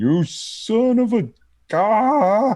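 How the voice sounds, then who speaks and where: A put-on character voice pitched fairly high. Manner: screaming.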